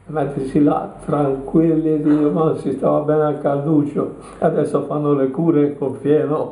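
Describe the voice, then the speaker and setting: Over noticeable background noise, a man talks at a fairly slow pace with a fairly high pitch and a monotone, flat intonation. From Tuscany, Italy. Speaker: war veteran. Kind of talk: interview answer.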